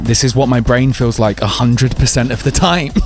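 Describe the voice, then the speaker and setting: A man talks fairly quickly while background music plays. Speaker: singer-songwriter and producer. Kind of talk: studio breakdown tutorial. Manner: fast; animated.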